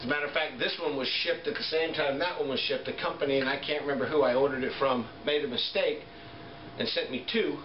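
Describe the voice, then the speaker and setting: Noticeable background noise sits under the speech. The delivery moves at a fairly quick pace. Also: man. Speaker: product reviewer. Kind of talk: casual product review and tutorial. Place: home room. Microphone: camera far.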